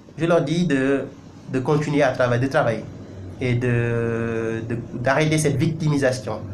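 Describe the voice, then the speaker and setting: A man's mid-pitched voice, varying in pitch a typical amount, carries an audible echo from the room. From Senegal. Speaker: news website editor and commentator. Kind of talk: video commentary monologue. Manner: emphatic, impassioned; frequent hesitations and self-corrections.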